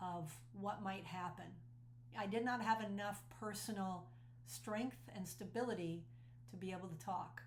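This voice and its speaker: A woman talks in a medium pitch, somewhat breathy, with very wide pitch swings. Audible room echo surrounds her voice. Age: 60s. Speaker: speaker and cult survivor. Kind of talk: personal testimony. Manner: earnest and conversational.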